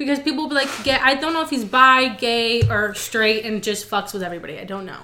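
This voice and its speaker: Against noticeable background noise, a woman talks at a fairly quick pace in a fairly high voice. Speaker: guest. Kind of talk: casual chat. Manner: jokey, interrupts a lot.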